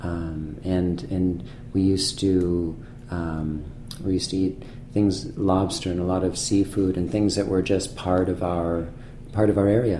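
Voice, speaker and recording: A man with an American accent and a very deep, low pitch speaks at a fairly slow pace in a monotone, flat way, with audible room echo. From Massachusetts North Shore (Manchester). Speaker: chef. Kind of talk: interview. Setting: restaurant private room. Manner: halting, many fillers and repetitions.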